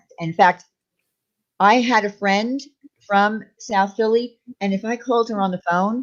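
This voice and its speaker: Speaking in a Long Island accent, a woman with a fairly high voice goes at a fairly slow pace, leaving long, frequent pauses. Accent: New York (Long Island). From Long Island, New York. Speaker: livestream host. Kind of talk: casual livestream chat. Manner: animated.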